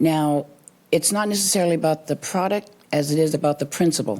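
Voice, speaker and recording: A woman's voice has a dark, mellow tone. Her pitch varies in an ordinary way. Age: 60s. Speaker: resident giving public comment. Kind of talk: public comment at town meeting. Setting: town council meeting.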